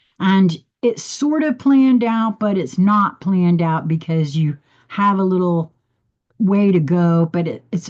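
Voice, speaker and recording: This woman talks at a medium pitch. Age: 60s. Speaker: spiritual livestream host. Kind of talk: casual live monologue. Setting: livestream. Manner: halting.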